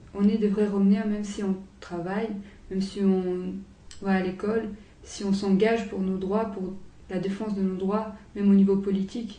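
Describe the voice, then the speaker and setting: A woman speaks in a flat monotone at medium pitch and a moderate pace, with long, frequent pauses. Room echo is audible. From Romania, raised partly in France. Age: 20s. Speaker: law student and activist. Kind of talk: interview testimony. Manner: hesitant, many fillers.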